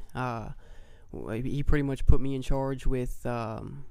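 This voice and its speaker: A man with an American accent speaks in a flat monotone, and the room echo is audible. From Brownsburg, Indiana. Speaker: entrepreneur. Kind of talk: casual chat. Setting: studio.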